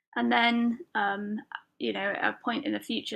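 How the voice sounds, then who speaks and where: With a British accent, this woman talks at a moderate pace. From UK. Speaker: podcast host and lettering artist. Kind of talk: solo podcast monologue. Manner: casual, filler-heavy.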